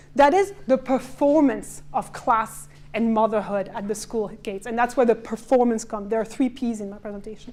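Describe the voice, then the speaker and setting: A woman with a French accent speaks at a moderate pace and fairly high pitch, with ordinary pitch variation, hardly any pauses and big swings in loudness. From France. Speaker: cultural and social historian. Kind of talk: conference presentation. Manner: hesitant, with self-corrections.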